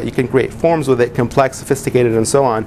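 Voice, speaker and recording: There is noticeable background noise as a man speaks at a very fast pace. His pitch is medium and his intonation fairly even. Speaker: web business consultant and presenter. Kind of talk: presentation to a small group.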